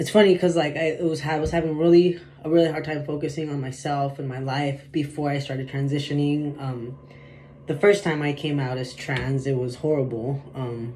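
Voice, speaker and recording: A man with a fairly high voice talks at a moderate pace with fairly even intonation. Audible room echo and noticeable background noise fill the recording. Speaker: vlogger. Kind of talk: personal vlog monologue. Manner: halting, filler-heavy.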